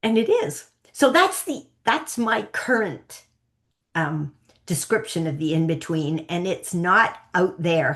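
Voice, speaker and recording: Speaking at a very slow pace, a woman with a Canadian accent uses a medium pitch and very wide pitch swings. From Canada. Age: 60s. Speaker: psychic coach. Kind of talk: interview. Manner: animated.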